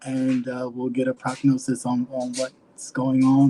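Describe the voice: A man speaks with fairly even intonation in a dark, mellow tone.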